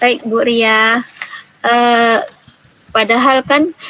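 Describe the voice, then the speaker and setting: Noticeable background noise sits behind speech delivered in a monotone, flat intonation. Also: woman. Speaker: primary school teacher. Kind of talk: role-play coaching session.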